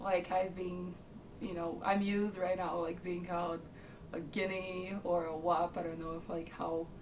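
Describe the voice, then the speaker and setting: A woman speaks at a moderate pace in a flat monotone. Audible room echo and noticeable background noise are present. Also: fairly low pitch for a woman. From northern Italy. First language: Italian. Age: 20s. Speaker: interviewee. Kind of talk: documentary interview. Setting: on camera.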